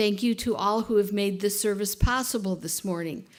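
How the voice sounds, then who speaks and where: Here a woman talks at medium pitch. The recording is very clean and the background silent. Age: 60s. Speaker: worship associate leading a church service. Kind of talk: church service welcome and announcements. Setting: church sanctuary with congregation, streamed live. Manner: loud.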